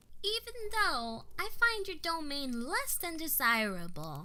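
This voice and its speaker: Putting on a character voice, a woman speaks at an extremely high pitch with very wide pitch swings and a fairly slow pace over clear background noise. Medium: audio drama.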